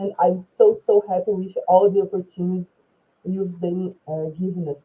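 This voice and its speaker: At a moderate pace, a woman with a medium-pitched, somewhat breathy voice speaks with fairly even intonation. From Brazil. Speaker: English teacher. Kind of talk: self-introduction.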